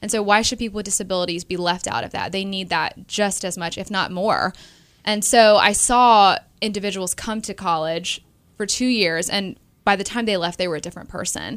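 A woman speaks in a normal speaking voice at a fairly quick pace. Her medium pitch carries fairly even intonation, on a very clean recording with a silent background. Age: 20s. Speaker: special education business owner. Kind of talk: interview conversation.

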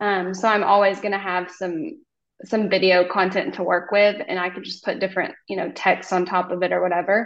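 With an American accent, a woman talks at a fairly quick pace in a normal speaking voice. Her pitch is medium, with ordinary variation. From Oklahoma. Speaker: hairstylist and content creator. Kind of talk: casual chat.

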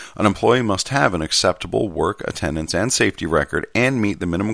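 A man with vocal fry at a fairly quick pace. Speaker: podcast host reading a postal union contract manual. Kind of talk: reading aloud. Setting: home recording on a laptop. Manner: lively, not monotonous.

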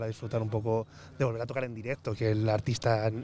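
Medium pitch from a male speaker, his tone dark and mellow, the intonation fairly even. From Spain, Toledo. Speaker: musician. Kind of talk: casual interview.

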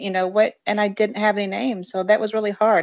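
A plain, everyday voice with an American accent moves at a fairly quick pace with fairly even intonation over a quiet background. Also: woman. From Michigan, Jackson. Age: 40s. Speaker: adoptee guest. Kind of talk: casual interview.

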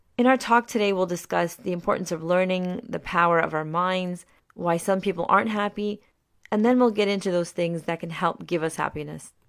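On a very clean recording with a silent background, a woman speaks at medium pitch and a fairly quick pace in a Mid-Atlantic accent. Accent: American, Mid-Atlantic. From US, Maryland. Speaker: podcast host. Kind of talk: scripted narration.

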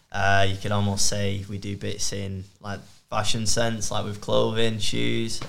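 Here is a man with a Mancunian accent. He speaks at a fairly low pitch. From Manchester, England. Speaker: outdoor content creator. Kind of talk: casual chat.

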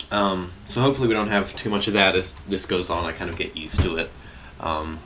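A man with an Australian accent is talking. His voice sits at a fairly low pitch. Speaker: solo podcast host. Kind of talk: casual monologue. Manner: fast.

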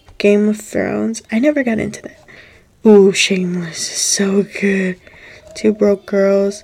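A woman at medium pitch and a fairly slow pace, amid noticeable background noise. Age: 20s. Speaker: podcast host. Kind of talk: casual solo chat. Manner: animated.

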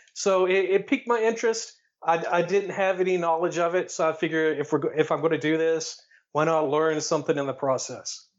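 Fairly quick speech in a Tennessee accent, with very even loudness and ordinary pitch variation. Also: man, high pitch for a man. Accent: Southern US (Tennessee). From Tennessee, near Chattanooga. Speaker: air force veteran and wrestling history researcher. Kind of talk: casual interview.

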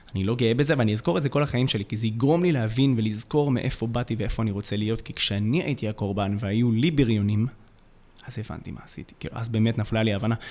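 A man at a medium pitch, very fast, with ordinary pitch variation. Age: 20s. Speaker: youth mentor and podcast co-host. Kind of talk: personal storytelling.

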